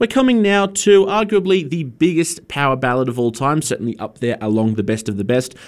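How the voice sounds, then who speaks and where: A man with an Australian accent speaks fairly quickly in a warm, upbeat tone at a fairly high pitch with very wide pitch swings. The recording is very clean, with a silent background. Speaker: radio host. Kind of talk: radio DJ patter: friendly, chatty song intros and back-announcements between tracks. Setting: community radio studio. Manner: warm, upbeat, conversational, slightly hesitant with fillers.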